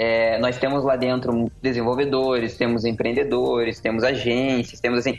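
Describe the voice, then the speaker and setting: A man speaks at medium pitch and a moderate pace with hardly any pauses. His intonation is monotone and flat, his loudness very even, with noticeable background noise. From Curitiba, Paraná, Brazil. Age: young. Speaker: digital marketing consultant and instructor. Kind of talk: podcast interview. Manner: casual.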